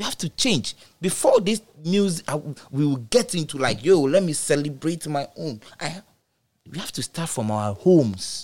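A fairly high-pitched man with a Ghanaian accent at a moderate pace, with very wide pitch swings and big swings in loudness. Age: 30s. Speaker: DJ and music artist. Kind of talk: casual chat.

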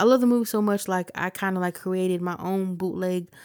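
A woman with an unremarkable speaking voice, medium pitch and fairly even intonation, with an American accent, in a very clean recording with a silent background. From Ohio, US. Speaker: podcast host, musician and producer. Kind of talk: casual podcast monologue.

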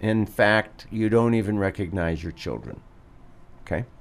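This is an unremarkable speaking voice in an American accent. The pace is moderate. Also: man. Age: 60s. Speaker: physician, radio show doctor. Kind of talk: medical radio talk show. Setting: radio studio.

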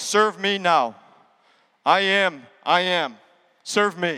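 A man does a put-on character voice at a high pitch. He speaks at a very slow pace. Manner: pompous, demanding.

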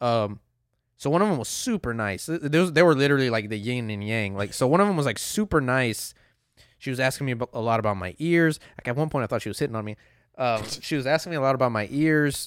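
A man at a medium pitch speaks at a very fast pace with lively intonation. The recording is very clean, the background silent. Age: 30s. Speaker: podcast host. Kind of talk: casual chat.

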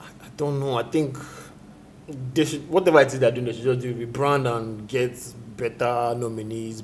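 A moderate pace carries this somewhat breathy voice. Its intonation stays fairly even. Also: man. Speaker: music reviewer. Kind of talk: casual chat. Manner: halting.

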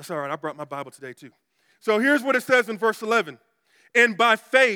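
In a very clean recording with a silent background and a dry, close sound with no echo, a man with an American accent projects a raised, high voice with a bright, sharp tone. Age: 40s. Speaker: pastor. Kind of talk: sermon.

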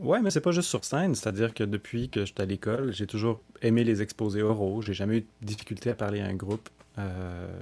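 In a Quebec accent, a man talks at a fairly quick pace with a fairly low pitch and a dark, mellow tone. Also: ordinary pitch variation. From Montreal, Quebec. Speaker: singer-songwriter. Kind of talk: interview. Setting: remote from his home.

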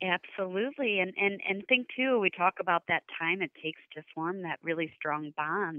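This woman has a medium pitch and an American accent. She talks at a moderate pace. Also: ordinary pitch variation. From United States. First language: English (Portuguese weaker). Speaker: nonprofit marketing executive. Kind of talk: interview.

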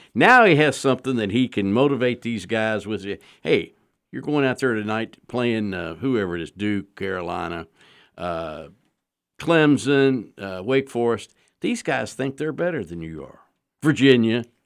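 A man talks at a fairly slow pace and a medium pitch, with lively intonation and big swings in loudness. The recording is very clean, with a silent background. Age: 60s. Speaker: sports journalist. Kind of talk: casual sports talk radio. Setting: radio studio.

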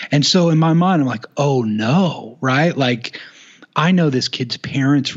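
An unremarkable speaking voice from a man with an American accent, medium in pitch, with lively intonation. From Oklahoma, US. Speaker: youth ministry resource founder. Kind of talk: casual interview.

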